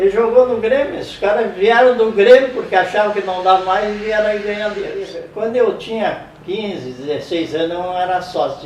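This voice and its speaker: Audible room echo and noticeable background noise fill this recording. A man with a high pitch talks at a moderate pace, his intonation lively. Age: 80s+. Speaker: interviewee, old football fan. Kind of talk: interview, reminiscing.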